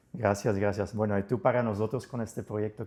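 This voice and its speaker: Against a quiet background, a dark, mellow voice races at a very fast pace with fairly even intonation. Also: man. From outside Spain. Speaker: podcast host. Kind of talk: interview.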